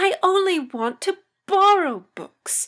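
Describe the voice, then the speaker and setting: Her put-on character voice sits extremely high in pitch. The woman talks fairly slowly. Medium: read story. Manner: polite, gentle.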